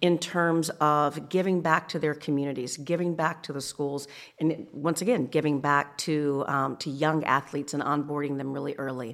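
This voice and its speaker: A woman with a very deep, low pitch speaks at a moderate pace with fairly even intonation and hardly any pauses. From small town. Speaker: retail store design executive. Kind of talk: interview.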